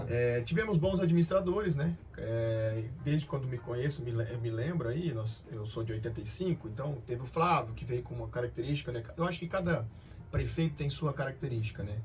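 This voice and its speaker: A man speaks in a plain, everyday voice at a medium pitch. His pace is fairly quick and his intonation lively. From Brazil, Cianorte, Paraná. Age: 30s. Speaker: company director. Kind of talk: radio interview.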